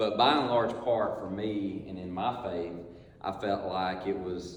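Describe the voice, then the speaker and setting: A man speaks with a very deep, low pitch and fairly even intonation. Noticeable background noise and audible room echo fill the recording. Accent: southern Georgia. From US South, Georgia (Ringgold). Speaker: lay speaker at men's church group. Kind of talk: personal testimony talk. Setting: church men's group gathering. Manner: hesitant, many fillers.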